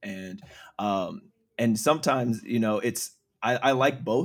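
On a very clean recording with a silent background, a speaker with an American accent uses an ordinary speaking voice at a moderate pace with ordinary pitch variation. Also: man. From small town, US. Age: 30s. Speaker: podcast guest. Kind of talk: casual chat.

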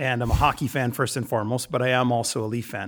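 This man has a Canadian accent and a medium pitch, talking at a very fast pace. The recording is very clean, with a silent background. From Ontario, Canada (London, Ontario). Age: 40s. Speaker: business co-founder. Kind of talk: casual interview.

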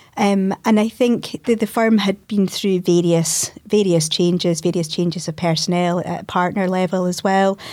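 A woman with a Scottish accent talks at a moderate pace and medium pitch, with fairly even intonation and hardly any pauses. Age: 40s. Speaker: lawyer and managing partner. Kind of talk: interview conversation.

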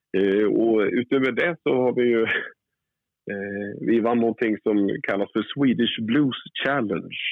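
Ordinary pitch variation and a fairly slow pace in a medium-pitched male voice. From Västerås, central Sweden. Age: 40s. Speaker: blues and soul singer, bandleader. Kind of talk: interview. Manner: halting.

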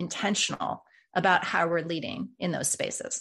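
Over a quiet background, a woman with vocal fry speaks at a moderate pace in a fairly low pitch. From Colorado. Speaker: executive leadership coach and author. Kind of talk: interview conversation.

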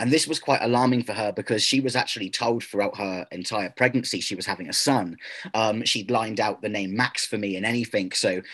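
With ordinary pitch variation, a man in an ordinary speaking voice talks at a fairly quick pace. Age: 30s. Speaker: activist speaking against transgender movement. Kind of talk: interview.

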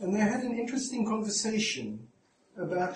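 The background carries noticeable noise. Through it, a man talks. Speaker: psychoanalyst chairing the talk. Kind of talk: chairing a discussion.

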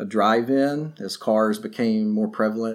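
A man speaks with a West Tennessee accent. His pitch is medium and varies in an ordinary way. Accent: Southern US (West Tennessee). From Northwest Tennessee. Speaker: barbecue history presenter. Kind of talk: casual interview.

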